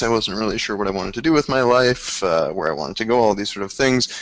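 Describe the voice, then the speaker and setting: A man with a Canadian accent talks very fast. Noticeable background noise sits behind him. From Canada, Toronto. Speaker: travel photographer. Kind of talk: webinar interview. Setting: live webinar.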